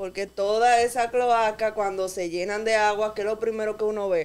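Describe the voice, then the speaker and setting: At a moderate pace, a woman talks with a fairly high pitch, a plain, everyday voice and fairly even intonation. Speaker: radio panelist. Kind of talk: radio talk show discussion. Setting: radio studio.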